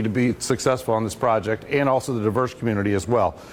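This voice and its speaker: A man talks with ordinary pitch variation. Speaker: procurement director at industry event. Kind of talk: conference presentation. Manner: loud. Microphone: no microphone, speaking unamplified.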